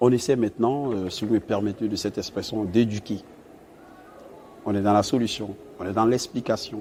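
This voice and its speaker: A man talks at a moderate pace with a fairly low pitch. His intonation stays fairly even, and noticeable noise is heard behind him. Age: 30s. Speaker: naval engineer. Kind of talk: interview.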